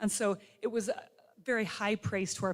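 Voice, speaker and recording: A woman with a plain, everyday voice and medium pitch speaks at a fairly quick pace. Her pitch variation is ordinary. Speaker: physical therapy faculty speaker. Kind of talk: ceremony speech.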